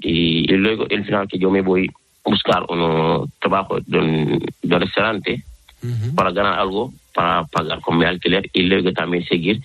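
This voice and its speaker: A man with a very deep, low voice keeps a moderate pace and ordinary pitch variation. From Senegal. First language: not Spanish (speaking Spanish). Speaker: fashion designer. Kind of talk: interview. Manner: halting.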